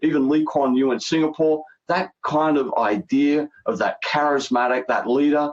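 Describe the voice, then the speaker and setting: With an Australian accent, a man speaks at a fairly high pitch, with fairly even intonation and very even loudness. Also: moderate pace. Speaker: healthcare strategy consultant. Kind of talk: interview.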